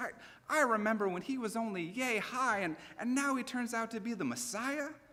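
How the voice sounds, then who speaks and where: A man with a high pitch speaks fairly slowly in a raised, projected voice. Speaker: pastor. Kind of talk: sermon; conversational sermon delivery with humor.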